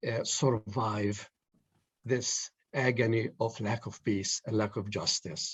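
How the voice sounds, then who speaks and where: In a somewhat breathy, medium-pitched voice, a man speaks at a very slow pace with fairly even intonation. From Palestine, Jerusalem. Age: 70s. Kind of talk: panel discussion. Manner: halting.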